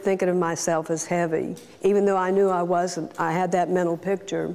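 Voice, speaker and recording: A woman talks at a fairly quick pace with a medium pitch. Noticeable background noise is present. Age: 60s. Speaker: weight loss surgery patient. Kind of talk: testimony.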